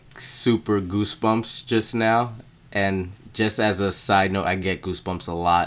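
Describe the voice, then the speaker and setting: A man with a plain, everyday voice, fairly low in pitch, at a fairly slow pace. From New York, Brooklyn. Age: 20s. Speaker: podcast co-host. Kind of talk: casual chat.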